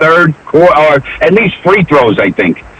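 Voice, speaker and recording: Noticeable background noise behind a man with an American accent, fairly high pitch, ordinary pitch variation, and a moderate pace. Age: 60s. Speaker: radio caller, sports fan. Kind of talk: call-in sports talk. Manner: animated.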